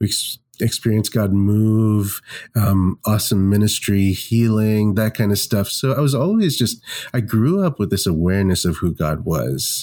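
In an American accent, a man with a dark, mellow tone speaks at a moderate pace and a fairly low pitch. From Mumbai, India and Kentucky, US. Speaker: pastor and worship leader. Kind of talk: casual interview.

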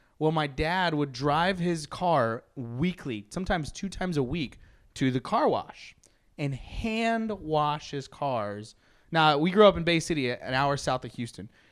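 This man has an ordinary speaking voice and a fairly slow pace. The recording is very clean, with a silent background. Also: fairly high pitch for a man, lively intonation. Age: 30s. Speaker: podcast host. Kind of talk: casual chat.

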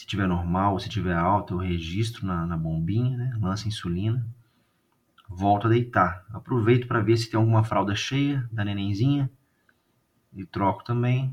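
A somewhat breathy man talks at a moderate pace in a fairly low pitch with ordinary pitch variation. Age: 30s. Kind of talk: casual chat.

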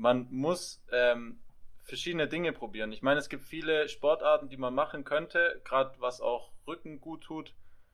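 A man with a plain, everyday voice talks at a moderate pace and a fairly high pitch. His loudness swings widely, while his pitch varies in an ordinary way. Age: 20s. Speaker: physiotherapy trainee and podcaster. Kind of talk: casual chat.

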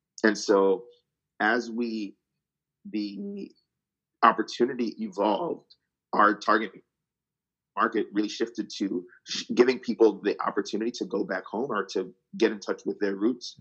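A man's voice at a moderate pace, with long, frequent pauses. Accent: New Jersey. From New Jersey, US. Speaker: travel company co-founder, strategy consultant. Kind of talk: interview, casual chat.

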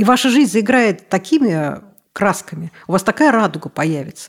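Very wide pitch swings at a moderate pace. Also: woman. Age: 50s. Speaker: obstetrician-gynecologist. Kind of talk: interview. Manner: animated.

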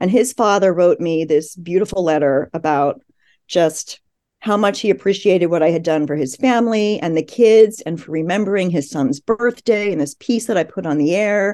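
A woman with a Mid-Atlantic accent talks at a moderate pace in a fairly low pitch. Her tone is dark and mellow, and the background is quiet. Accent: American, Mid-Atlantic. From US, Philadelphia suburbs. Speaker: journalist and author. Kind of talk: interview.

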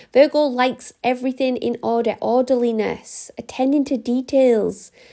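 A woman with an English accent speaks at a high pitch and a moderate pace, her intonation fairly even. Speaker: astrology podcaster. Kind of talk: astrology forecast monologue. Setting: home recording. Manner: quieter than usual.

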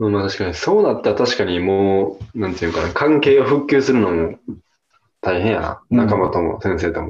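Lively intonation marks this man's speech. He talks at a fairly quick pace and a fairly low pitch. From Hyogo, Japan (Kawanishi). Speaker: podcast guest and listener. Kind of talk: casual chat.

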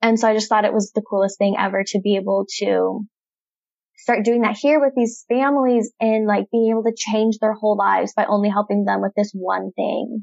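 An ordinary speaking voice, a woman with an American accent talks at a fairly quick pace and fairly high pitch. Her intonation is fairly even and her loudness very even, with a dry, close sound and no echo. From Idaho. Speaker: financial coach. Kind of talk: casual interview.

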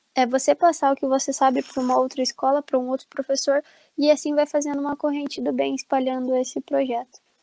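A woman's high-pitched voice with a dark, mellow tone comes through at a very fast pace in a monotone, flat intonation, with a dry, close sound and no echo. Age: 20s. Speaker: pedagogy student. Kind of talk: casual chat.

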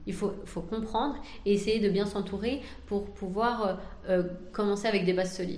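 Amid audible room echo, a woman speaks with fairly even intonation and long, frequent pauses. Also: medium pitch for a woman, moderate pace. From France. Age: 30s. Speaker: entrepreneur. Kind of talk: interview.

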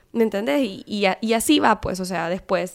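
An unremarkable speaking voice from a woman, medium in pitch, fairly slow, with ordinary pitch variation. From Honduras. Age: 30s. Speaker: civil engineer. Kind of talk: casual interview chat.

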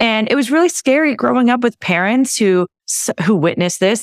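A woman speaks at a moderate pace with very wide pitch swings. The sound is dry and close with no echo, in a very clean recording with a silent background. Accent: West Coast US. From California. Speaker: naturopathic doctor. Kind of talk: casual interview.

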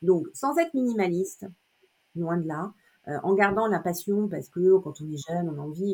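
With ordinary pitch variation, the words come at a fairly quick pace. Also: woman. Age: 50s. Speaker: image consultant and personal shopper. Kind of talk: interview. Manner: hesitant, many fillers.

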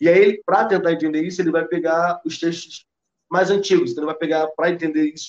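This man talks at a high pitch. His voice sits well up in the range. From Rio de Janeiro, Brazil. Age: 30s. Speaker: history teacher and cultural producer. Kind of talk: casual interview conversation.

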